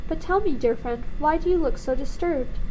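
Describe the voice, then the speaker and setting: A woman performs a put-on character voice at a fairly quick pace. Clear background noise can be heard. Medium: read story.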